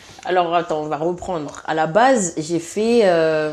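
Noticeable background noise sits behind a woman's voice. She speaks at a fairly low pitch with ordinary pitch variation. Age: 30s. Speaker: massage therapist. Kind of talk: casual chat. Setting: at the host's home.

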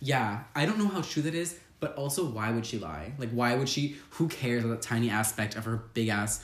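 A man with a medium pitch speaks at a fairly quick pace with hardly any pauses, his lively intonation and animated tone set against noticeable background noise. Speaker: podcast host. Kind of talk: casual chat. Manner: fast talker.

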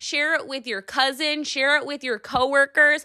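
A woman's high, raised, projected voice, bright and sharp in tone and animated. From Buffalo, New York. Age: 30s. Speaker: podcast host. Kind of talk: casual monologue rant.

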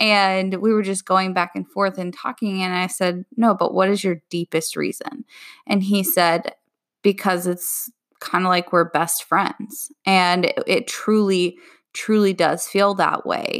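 This woman has an unremarkable speaking voice at a medium pitch. She talks at a fairly slow pace with fairly even intonation. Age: 20s. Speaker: podcast host and relationship coach. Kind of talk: solo podcast monologue. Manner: casual, frequent laughs and fillers.

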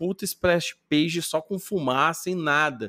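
In a plain, everyday voice, a man with a fairly high pitch speaks at a fairly slow pace in a dry, close sound with no echo. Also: very clean recording, silent background. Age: 40s. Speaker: podcaster. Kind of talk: casual chat.

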